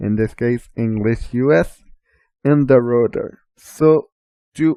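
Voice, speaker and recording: Speaking very slowly with a Quebec accent, a man has a dark, mellow tone and ordinary pitch variation, recorded with a dry, close sound and no echo. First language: French. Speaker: assistive technology trainer. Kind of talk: tutorial.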